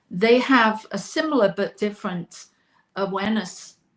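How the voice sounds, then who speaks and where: A woman speaks at a moderate pace in a medium-pitched, somewhat breathy voice with ordinary pitch variation. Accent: American. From southern England (Oxfordshire). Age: 60s. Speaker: talk show host, interviewed on her birthday. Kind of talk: interview, personal life story. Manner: reflective, with hesitations.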